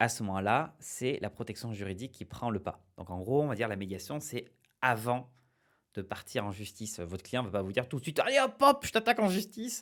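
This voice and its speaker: Recorded very cleanly over a silent background, a man speaks at medium pitch with lively intonation. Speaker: small-business advice youtuber. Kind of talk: explainer video. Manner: fast; hesitant, many fillers.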